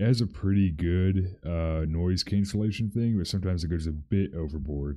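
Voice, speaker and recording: Soft-spoken, a man with a very deep, low pitch talks at a moderate pace, with ordinary pitch variation and hardly any pauses. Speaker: streamer / video creator. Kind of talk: casual livestream chat. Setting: livestream. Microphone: good mic, possible dropouts from noise cancellation.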